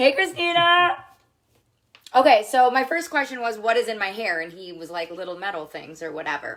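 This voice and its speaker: The speech shows big swings in loudness and very wide pitch swings. The tone is animated, and the pace is moderate. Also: woman, fairly high pitch for a woman. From Minnesota, US Midwest. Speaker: makeup seller livestreamer. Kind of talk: live stream chat with husband.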